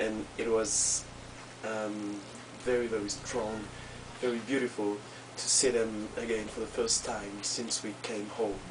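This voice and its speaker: In a strong French accent, a man with a fairly low pitch speaks at a fairly slow pace with long, frequent pauses and monotone, flat intonation, over noticeable background noise. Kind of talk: casual personal video message. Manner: hesitant, many fillers.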